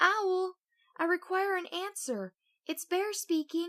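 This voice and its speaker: In a loud, squeaky, put-on character voice with extremely high pitch, a woman speaks fairly slowly, and the sound is dry and close with no echo. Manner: loud, commanding.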